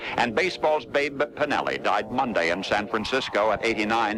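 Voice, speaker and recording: Fairly low-pitched man over noticeable background noise. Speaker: radio newscaster. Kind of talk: radio news and commentary. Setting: AM radio broadcast off cassette.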